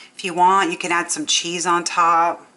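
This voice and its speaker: A woman at a medium pitch speaks at a moderate pace while noticeable background noise carries on. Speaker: cooking channel host. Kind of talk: cooking tutorial. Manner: soft-spoken.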